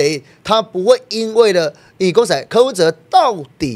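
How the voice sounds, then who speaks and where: A man's voice swings very widely in pitch and shows vocal fry, on a very clean recording with a silent background. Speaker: political party member. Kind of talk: political talk show discussion. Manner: animated.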